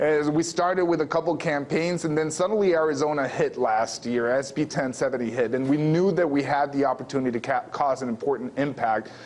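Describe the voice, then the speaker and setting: Noticeable background noise behind a man talking fairly fast in a fairly high voice. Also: ordinary pitch variation, hardly any pauses. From Mexico, Sonora. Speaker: activist and media producer. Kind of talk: interview. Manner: hesitant, many fillers.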